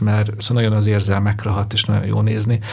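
Very fast speech from a man at a fairly low pitch, with noticeable background noise. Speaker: podcast host, journalist. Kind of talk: interview conversation.

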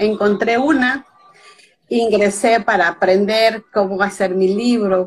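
Intonation stays fairly even as the words come very slowly. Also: woman, medium pitch for a woman. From Mexico (Veracruz). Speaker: author. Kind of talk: interview. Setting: live video call.

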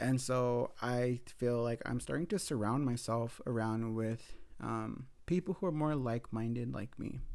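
Here is a man with an ordinary speaking voice at medium pitch and ordinary pitch variation. The recording is very clean, with a silent background. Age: 30s. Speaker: podcaster and grad student. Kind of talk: casual solo storytelling.

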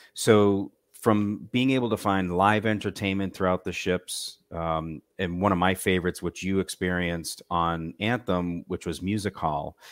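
A man with an American accent speaks at a moderate pace in a very deep, low voice, his intonation fairly even and hardly any pauses, on a very clean recording with a silent background and a dry, close sound with no echo. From Massachusetts. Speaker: cruise line sales manager. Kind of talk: casual interview.

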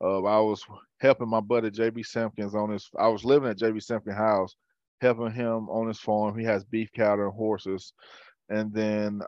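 In a Southern US accent, a man speaks with a fairly low pitch and a monotone, flat intonation. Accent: Southern US (Georgia). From US South, rural Georgia (south of Atlanta). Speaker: former college football player. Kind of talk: casual chat. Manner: halting, many fillers and repeats.

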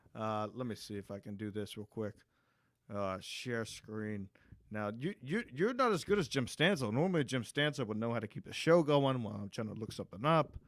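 At a fairly quick pace, a man with a plain, everyday voice speaks at medium pitch on a very clean recording with a silent background. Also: lively intonation. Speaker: podcast host. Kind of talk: casual crude banter. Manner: crude, joking.

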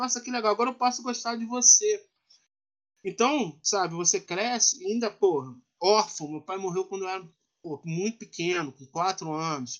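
Speaking at a moderate pace, a man uses a high pitch and lively intonation, with big swings in loudness. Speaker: professor and writer. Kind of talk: interview conversation.

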